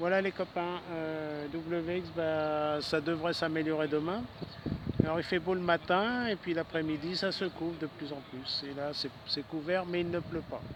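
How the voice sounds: The pace is moderate. A man speaks with fairly even intonation. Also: fairly high pitch for a man.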